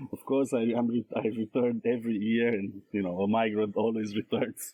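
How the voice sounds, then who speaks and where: With a Romanian accent, a man speaks at a medium pitch and a fairly quick pace in a monotone, flat intonation. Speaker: scholar and translator. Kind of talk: podcast interview. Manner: halting, many fillers.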